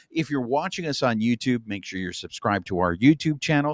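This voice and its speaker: A man talks at a fairly quick pace with very wide pitch swings. The recording is very clean and dry, close with no echo, over a silent background. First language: Spanish. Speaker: podcast host. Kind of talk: show intro; casual chat.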